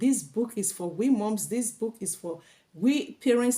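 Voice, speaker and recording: A woman talks at a fairly high pitch with a dark, mellow tone and lively intonation. Her voice is somewhat breathy. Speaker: YouTube vlogger. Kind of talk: casual educational vlog reading. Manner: animated.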